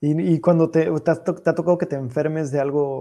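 At a moderate pace, a man with a dark, mellow tone and a fairly high pitch speaks with fairly even intonation. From Mexico. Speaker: podcast host. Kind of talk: casual interview chat.

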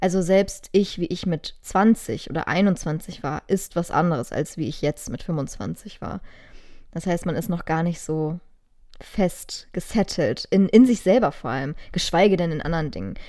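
On a very clean recording with a silent background, a woman with a dark, mellow tone and a fairly low pitch speaks at a fairly slow pace with ordinary pitch variation. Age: 20s. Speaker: podcast co-host. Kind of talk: casual chat.

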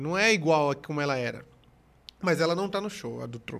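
Captured in a very clean recording with a silent background, a man talks with ordinary pitch variation. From Pernambuco, Brazil. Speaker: comedian. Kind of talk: casual chat.

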